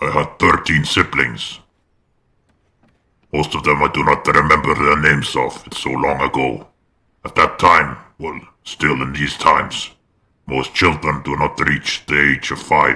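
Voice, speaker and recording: A very deep, low-pitched put-on character voice from a man, broken by long, frequent pauses. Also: moderate pace. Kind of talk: roleplay character monologue. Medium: game stream. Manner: hesitant, measured, reflective.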